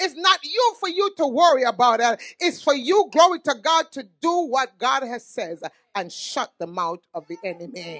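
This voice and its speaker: Against a quiet background, a woman speaks in a high, animated voice with very wide pitch swings, big swings in loudness and hardly any pauses. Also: moderate pace. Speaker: pastor and prophet; pastor. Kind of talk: sermon. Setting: church. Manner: animated, exclamatory. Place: church. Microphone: handheld.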